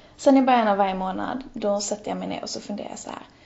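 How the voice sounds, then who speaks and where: Over noticeable background noise, a woman talks at a very fast pace. Her pitch is fairly high. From Helsingborg, southern Sweden. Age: 20s. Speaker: blogger. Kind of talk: interview conversation. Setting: Skype call.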